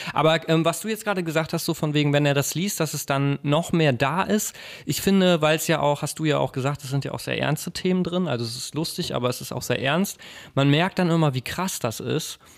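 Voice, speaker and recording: A man with an unremarkable speaking voice talks at a fairly quick pace, his fairly high pitch showing ordinary pitch variation. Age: 20s. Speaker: podcast co-host. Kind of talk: casual chat. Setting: home kitchen.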